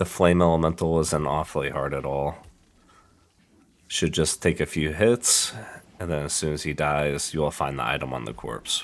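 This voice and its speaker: Over a very clean recording with a silent background, a man with a very deep, low pitch and vocal fry speaks at a moderate pace with ordinary pitch variation and long, frequent pauses. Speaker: gamer. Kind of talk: game tutorial narration.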